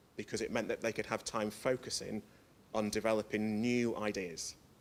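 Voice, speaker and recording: A man with a northern English accent. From northern England. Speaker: educational developer, conference speaker. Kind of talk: conference presentation. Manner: fast; hesitant, many fillers.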